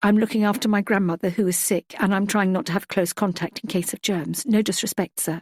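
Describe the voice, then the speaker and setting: A woman in a strained, put-on character voice speaks fairly quickly with hardly any pauses, at a medium pitch and with fairly even intonation, in a dry, close sound with no echo. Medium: read story. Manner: careful, restrained politeness.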